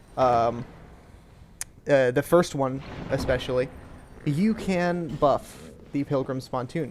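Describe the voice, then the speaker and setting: Noticeable background noise accompanies a man whose voice sits fairly high in pitch. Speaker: gaming YouTuber. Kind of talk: gameplay commentary. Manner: hesitant, many fillers.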